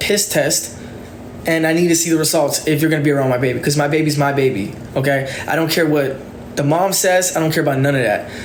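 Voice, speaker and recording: A man's voice comes through audible room echo with noticeable background noise underneath. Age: 20s. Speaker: TikTok livestreamer. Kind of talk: live stream rant. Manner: stuttering; halting.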